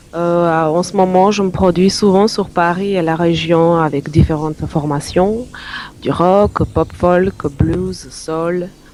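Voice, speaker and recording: Against noticeable background noise, a woman with a fairly low pitch speaks very slowly with fairly even intonation. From North Macedonia. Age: 30s. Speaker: singer-songwriter. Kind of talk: radio interview. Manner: halting.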